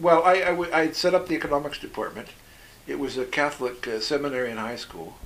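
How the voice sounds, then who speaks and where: A man's fairly high voice with a Canadian accent, very fast pace, ordinary pitch variation and big swings in loudness, over noticeable background noise. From Canada, British Columbia (Okanagan Valley). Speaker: former overseas volunteer, economist. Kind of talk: interview.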